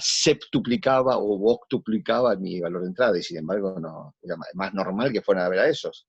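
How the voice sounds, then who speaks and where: With a Rioplatense accent, a man talks at a fairly quick pace with hardly any pauses, ordinary pitch variation, and big swings in loudness. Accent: Argentine Rioplatense Spanish. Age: 60s. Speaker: actor. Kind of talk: interview conversation.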